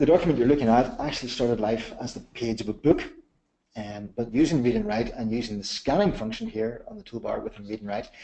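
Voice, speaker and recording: A man at medium pitch, talking very fast, with big swings in loudness, ordinary pitch variation and a dark, mellow tone. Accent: Northern Irish. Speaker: software company manager presenting a webinar. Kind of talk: webinar product demonstration. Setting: online webinar. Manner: repeats words often.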